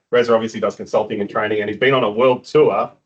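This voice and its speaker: The voice belongs to a man with a medium pitch. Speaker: meetup organiser. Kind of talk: event introduction. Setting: meetup venue with live audience. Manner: loud.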